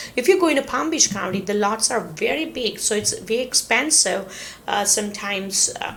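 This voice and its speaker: A woman with a non-native accent talks at a fairly quick pace in a fairly high voice. Her intonation is lively, with noticeable background noise behind her. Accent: non-native English, self-noted pronunciation. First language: not English. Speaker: real estate agent / relocation video host. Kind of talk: informational talk to camera. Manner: hesitant, many fillers.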